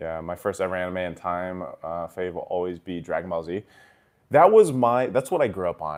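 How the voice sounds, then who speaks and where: In an American accent, a man with a very deep, low pitch uses ordinary pitch variation on a very clean recording with a silent background. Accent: American accent when speaking Tagalog. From Japan and US, Filipino heritage. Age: 30s. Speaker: esports commentator and streamer. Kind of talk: casual livestream chat. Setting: livestream. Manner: casual, conversational.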